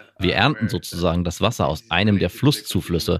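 A man is speaking here. His pace is fairly quick. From Mexico, Veracruz. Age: 30s. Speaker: environmental volunteer. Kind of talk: interview.

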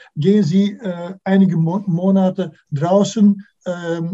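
A man with a Dutch accent and a dark, mellow tone. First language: Dutch (speaking German). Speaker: music historian. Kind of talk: interview. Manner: halting, many fillers.

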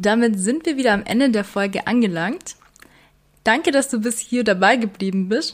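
An ordinary speaking voice, with ordinary pitch variation, moves along at a moderate pace. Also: woman. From Bavarian Swabia, Germany (Weißenhorn). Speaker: health and fitness podcast host, trainer. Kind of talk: casual explanatory podcast talk.

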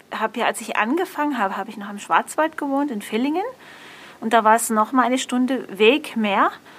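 This woman's voice moves through ordinary pitch variation. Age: 40s. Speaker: blind restaurant worker. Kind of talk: interview about travel experiences. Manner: halting with many fillers.

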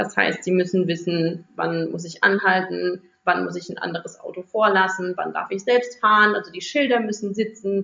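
With an unremarkable speaking voice, a woman talks at a moderate pace in a medium pitch, using fairly even intonation and hardly any pauses. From Rhineland-Palatinate, Germany. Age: 30s. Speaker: primary school teacher. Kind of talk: interview for a children's podcast.

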